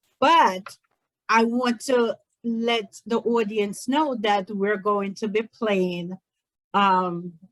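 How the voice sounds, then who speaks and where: A woman with an American accent speaks very slowly at a fairly high pitch, her ordinary pitch variation captured in a dry, close sound with no echo. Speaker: talk show host. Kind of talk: talk show interview.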